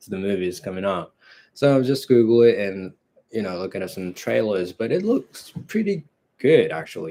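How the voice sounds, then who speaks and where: A man with a Japanese accent speaks at a moderate pace in a relaxed tone, his fairly low voice dark and mellow. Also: lively intonation. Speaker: movie channel host. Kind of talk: casual live stream chat. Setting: live broadcast at home. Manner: relaxed, hesitant with fillers.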